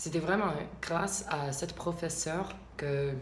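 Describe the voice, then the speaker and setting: A woman's very deep, low voice at a fairly slow pace, with fairly even intonation and audible room echo. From US South, Alabama. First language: English (speaking French). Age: 20s. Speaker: vlogger. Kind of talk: casual vlog monologue. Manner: halting, many hesitations.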